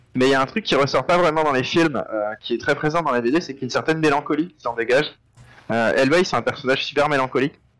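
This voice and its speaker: A man's fairly high voice at a very fast pace. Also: ordinary pitch variation. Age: 20s. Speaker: illustrator and comics artist. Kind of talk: casual interview. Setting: remote call on live stream.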